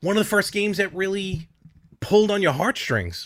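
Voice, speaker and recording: The man speaks in an animated tone. The recording is very clean, with a silent background. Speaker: podcast host. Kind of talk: casual chat.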